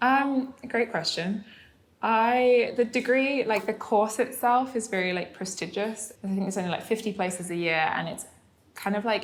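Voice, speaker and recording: This woman has a British accent and a fairly high pitch. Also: ordinary pitch variation, moderate pace. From UK. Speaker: entrepreneur. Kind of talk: interview conversation. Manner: casual, many fillers.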